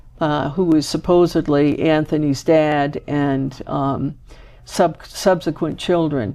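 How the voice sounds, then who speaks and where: A woman's very deep, low voice with a dark, mellow tone and a Maine accent, at a very slow pace with fairly even intonation, over a quiet background. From Maine, Boothbay Harbor. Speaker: genealogy show host. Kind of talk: interview.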